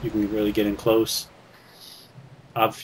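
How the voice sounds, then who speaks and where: A man with an American accent talks at a moderate pace and a fairly low pitch. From US South, North Carolina. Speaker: gaming commentator. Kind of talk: gameplay commentary. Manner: halting, many fillers and repeats.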